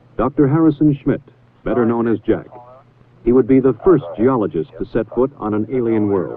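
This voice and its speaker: With a plain, everyday voice, a man keeps to a moderate pace, his medium pitch showing ordinary pitch variation. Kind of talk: documentary narration.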